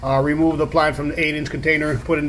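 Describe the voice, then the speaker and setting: A man is speaking. Light background noise can be heard. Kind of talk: tutorial. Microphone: phone near.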